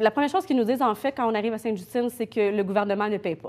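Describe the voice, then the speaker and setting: A woman speaks with ordinary pitch variation. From Quebec. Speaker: mother of a sick child. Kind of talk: interview. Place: studio.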